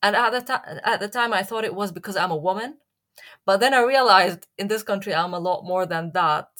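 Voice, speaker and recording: Speaking with an Arabic accent, a woman has a bright, sharp tone at medium pitch. She goes at a fairly quick pace with ordinary pitch variation. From Syria. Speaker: journalist and playwright. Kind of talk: interview. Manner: halting, many fillers.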